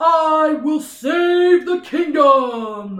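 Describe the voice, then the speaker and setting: Put on as a character voice, this speech sits at a high pitch. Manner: bold.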